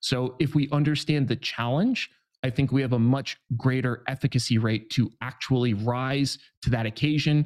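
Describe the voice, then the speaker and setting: On a very clean recording with a silent background, a man with a plain, everyday voice speaks at a moderate pace and medium pitch, with fairly even intonation and very even loudness. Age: 30s. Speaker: trader. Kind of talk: interview.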